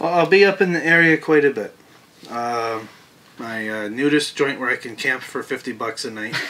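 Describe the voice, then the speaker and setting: Against light background noise, a man with a fairly high voice talks at a moderate pace, with lively intonation and big swings in loudness. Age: 30s. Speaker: open mic musician; interviewee. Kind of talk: interview. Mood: earnest, reflective. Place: home room.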